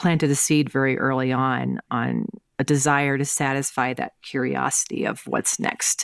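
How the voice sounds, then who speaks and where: Speaking fairly slowly with a Southern US accent, a woman uses a very deep, low pitch and ordinary pitch variation, heard in dry, close sound without echo. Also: very clean recording, silent background. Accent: Southern-sounding US. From US Midwest, St. Louis, Missouri. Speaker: tech executive, chief innovation officer. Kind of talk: interview. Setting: podcast.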